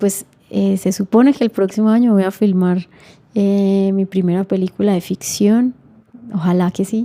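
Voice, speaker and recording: A woman's medium-pitched voice with a dark, mellow tone, fairly even intonation and very even loudness, in a dry, close sound with no echo. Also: fairly slow pace. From Colombia. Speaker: filmmaker. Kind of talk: interview.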